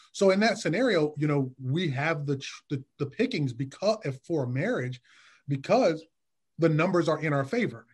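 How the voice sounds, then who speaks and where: An ordinary speaking voice with an American accent moves at a moderate pace with lively intonation over a quiet background. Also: man, fairly high pitch for a man. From Detroit, US Midwest. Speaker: licensed therapist. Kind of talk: casual interview.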